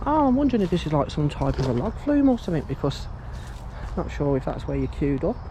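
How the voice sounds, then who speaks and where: The background noise is noticeable. Over it, a man talks very fast. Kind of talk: walkaround vlog narration. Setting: outdoors. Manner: hushed at times to avoid security.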